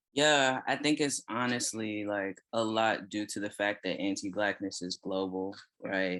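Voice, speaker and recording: Recorded very cleanly against a silent background, a man with an American accent has a bright, sharp tone, a fairly low pitch with ordinary variation, and a fairly slow pace. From Texas. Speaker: writer and consultant. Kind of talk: casual chat.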